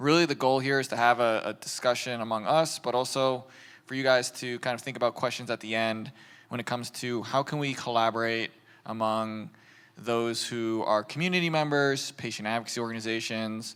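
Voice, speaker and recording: Over a very clean recording with a silent background, a man in an ordinary speaking voice talks at a fairly quick pace, medium in pitch with fairly even intonation. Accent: American. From US. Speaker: patient advocacy manager, panel moderator. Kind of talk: panel discussion.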